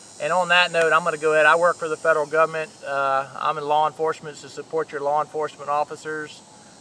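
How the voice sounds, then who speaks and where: Over noticeable background noise, a man talks at a fairly quick pace in a fairly high, monotone, flat voice. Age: 40s. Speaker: hunting video host. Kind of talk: casual video introduction.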